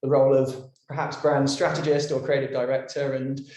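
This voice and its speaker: In an English accent, a man talks at a fairly quick pace with audible room echo. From London, England. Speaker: creative director, brand designer. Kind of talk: podcast interview. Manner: hesitant, many fillers and repeats.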